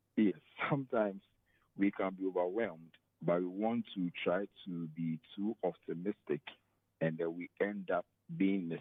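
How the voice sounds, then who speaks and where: A man's very deep, low voice with ordinary pitch variation and long, frequent pauses. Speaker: HR professional and personal development coach. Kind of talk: interview on talk show. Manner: fast.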